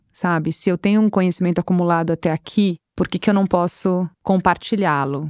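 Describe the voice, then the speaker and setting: At a moderate pace, a woman with a dark, mellow tone and medium pitch speaks in a dry, close sound with no echo against a quiet background. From Brazil, São Paulo. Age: 40s. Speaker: business executive. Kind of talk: interview conversation.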